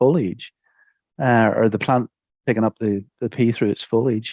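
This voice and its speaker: In a Northern Irish accent, a man talks at a fairly quick pace. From Northern Ireland, Antrim. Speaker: soil scientist, professor. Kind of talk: interview answer.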